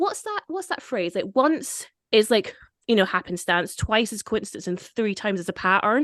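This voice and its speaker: A woman speaks at a moderate pace in an animated tone, her pitch fairly high. Her intonation is lively, with a slight Scottish accent. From Scotland. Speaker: podcast host. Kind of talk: casual chat.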